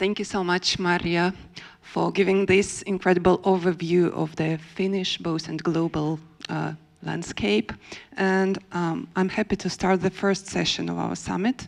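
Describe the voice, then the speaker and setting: In a Russian accent, a woman speaks at a fairly slow pace with a fairly low pitch and vocal fry. Her pitch variation is ordinary, and the background is quiet. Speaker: panel moderator, theatre researcher. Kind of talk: panel moderation. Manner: halting, many fillers.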